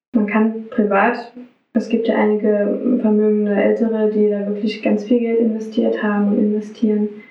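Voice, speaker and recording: The woman's fairly high voice carries audible room echo. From Saxony, Radebeul near Dresden. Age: 30s. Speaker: social worker and music therapist. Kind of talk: interview.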